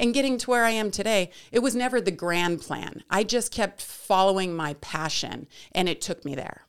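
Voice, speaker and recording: Speaking with an American accent, a woman has an unremarkable speaking voice at a medium pitch, moving at a moderate pace with lively intonation. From US West, Lake Tahoe and Las Vegas. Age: 40s. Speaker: sportscaster. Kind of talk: casual chat.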